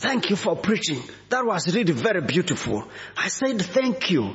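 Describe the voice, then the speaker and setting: A man with an African accent, very wide pitch swings and a moderate pace, over noticeable background noise. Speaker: visiting bishop preacher. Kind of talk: sermon.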